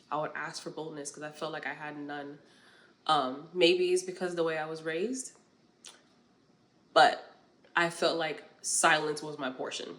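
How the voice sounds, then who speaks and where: A woman with an American accent, very deep and low in pitch, fairly even intonation, moderate pace with long, frequent pauses, big swings in loudness, audible room echo. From New York. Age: 20s. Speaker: podcast host. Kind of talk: casual monologue, faith-based talk.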